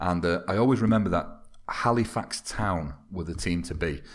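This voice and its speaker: A man with a Mancunian accent is heard in a very clean recording with a silent background. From Manchester, northern England. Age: 30s. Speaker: football video game YouTuber. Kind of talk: casual podcast interview.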